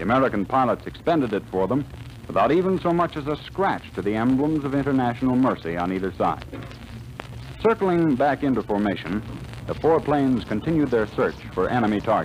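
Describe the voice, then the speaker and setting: Background noise is noticeable as a man speaks at a fairly quick pace. His pitch is medium, with very wide swings. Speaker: radio announcer. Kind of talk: radio drama narration. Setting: old radio transcription disc.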